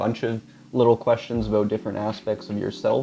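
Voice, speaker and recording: Over noticeable background noise, a man speaks at a medium pitch with fairly even intonation. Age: young. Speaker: graffiti artist and podcast host. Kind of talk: interview. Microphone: too quiet.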